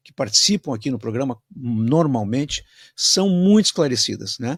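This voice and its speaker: The recording is very clean, with a silent background and a dry, close sound with no echo. The speaker uses lively intonation at a moderate pace. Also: man. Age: 60s. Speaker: radio host. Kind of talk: radio interview. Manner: halting; animated.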